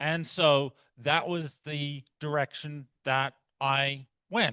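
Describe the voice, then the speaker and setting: Dry and close with no echo, a man's voice sounds bright and sharp at a fairly high pitch. He speaks very slowly with fairly even intonation. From outback Australia. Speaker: astronomy researcher. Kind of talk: lecture. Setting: club meeting talk.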